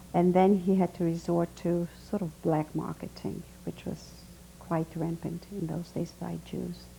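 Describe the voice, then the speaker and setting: Moderate speed and a somewhat breathy sound in a woman's voice. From Hungary. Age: 60s. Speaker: Holocaust survivor. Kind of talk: oral history testimony interview.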